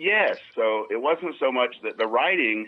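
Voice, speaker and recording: A man speaks with a Southern US accent. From US South. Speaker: comedian's father. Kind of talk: casual chat. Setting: phone call.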